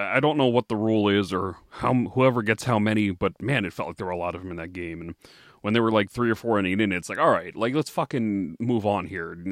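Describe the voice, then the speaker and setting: A man's fairly low voice at a very fast pace, with ordinary pitch variation and a quiet background. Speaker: podcast co-host. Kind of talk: casual banter.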